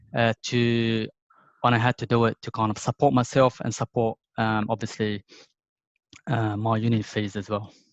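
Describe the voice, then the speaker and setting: A man with a non-native accent, medium pitch and monotone, flat intonation, at a moderate pace, in a dry, close sound with no echo. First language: not English. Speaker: IT professional. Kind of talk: casual interview. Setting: video call. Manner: hesitant, many fillers.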